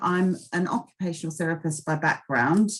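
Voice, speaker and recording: At a fairly slow pace, a woman with a fairly low pitch talks with fairly even intonation. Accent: slight Australian. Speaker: occupational therapist and case manager. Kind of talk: webinar presentation. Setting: online webinar.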